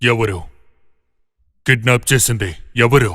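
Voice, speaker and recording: A man performs a put-on character voice. He stays at a medium pitch. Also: ordinary pitch variation. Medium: fan dub. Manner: brusque, commanding.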